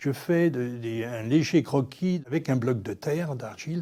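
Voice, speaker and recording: Against a silent background on a very clean recording, a man speaks in a dark, mellow tone. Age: 70s. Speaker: animal sculptor. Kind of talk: documentary interview. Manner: hesitant, with repetitions and fillers.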